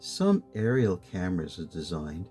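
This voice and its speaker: Soft-spoken, gentle-toned delivery at a fairly slow pace with lively intonation and music in the background. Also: man. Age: old. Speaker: street photographer and photojournalist. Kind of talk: sleep story, slow encyclopedia-style reading. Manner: slow, gentle, soft-spoken.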